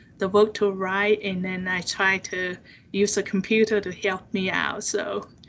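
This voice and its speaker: The delivery is monotone and flat, at a moderate pace, with a Chinese accent. The background is quiet. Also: woman. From China. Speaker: seminar speaker. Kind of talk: personal testimony in interview. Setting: video call. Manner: halting, many fillers.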